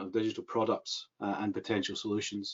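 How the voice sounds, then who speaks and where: With a strong Scottish accent, a man at medium pitch talks at a very fast pace. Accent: thick Scottish. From Scotland. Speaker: government mental health advisor. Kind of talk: webinar presentation. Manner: hesitant, many fillers.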